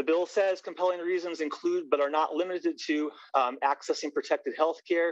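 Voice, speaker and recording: A man talks at a fairly quick pace with very even loudness, recorded dry and close with no echo. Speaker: public hearing testifier, parent. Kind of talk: public testimony. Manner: fast; halting.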